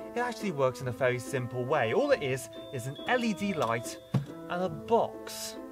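Clear background music behind a man talking at a moderate pace. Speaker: nature channel host. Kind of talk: educational vlog explanation. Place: garden.

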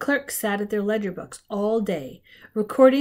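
The recording consists of plain reading aloud.

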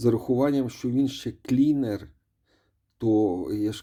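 A man has a dark, mellow tone. The recording is very clean, and the background is silent. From Ukraine. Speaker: mobile game reviewer. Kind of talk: gaming commentary. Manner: casual, with filler hesitations.

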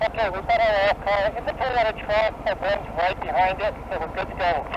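A man's high-pitched voice, dry with no echo, over noticeable background noise. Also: ordinary pitch variation, fairly quick pace. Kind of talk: radio coordination talk. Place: motorbike. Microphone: helmet.

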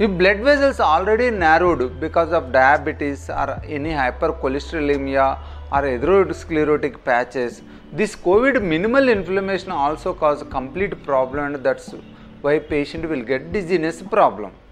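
Over faint music in the background, a man speaks at a moderate pace. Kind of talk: medical explainer to camera. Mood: calm, explanatory. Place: office.

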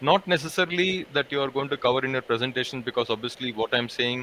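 Over light background noise, a man speaks very fast with ordinary pitch variation in a dry sound with no echo. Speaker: education workshop facilitator. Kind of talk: online training session moderation. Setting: video call. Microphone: video call.

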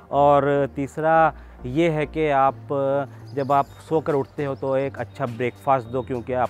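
Faint music plays behind a fairly slow voice with ordinary pitch variation, the sound dry with no echo. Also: man. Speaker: fitness vlogger. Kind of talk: fitness advice talk to camera. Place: open country.

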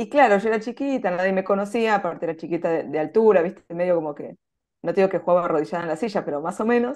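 With an Argentine accent, a woman talks at a very fast pace with lively intonation against a quiet background. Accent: Argentine Spanish (Rioplatense). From Argentina. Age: 40s. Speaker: chess player; interviewee. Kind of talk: interview. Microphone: video call.

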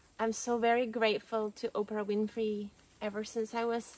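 A woman speaks in a dry sound with no echo. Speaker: spiritual vlogger. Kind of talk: casual vlog chat. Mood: warm, earnest. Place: forest.

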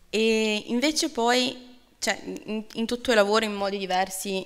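A woman's voice with fairly even intonation. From outside Italy. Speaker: event moderator. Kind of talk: event moderation and interview. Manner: halting, many fillers. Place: hall. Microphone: podium.

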